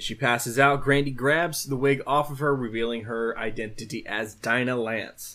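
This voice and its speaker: A man with a fairly high pitch talks at a moderate pace in a plain, everyday voice. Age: 20s. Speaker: comic book podcast host. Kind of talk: solo podcast recap and reading of letters. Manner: casual with frequent fillers.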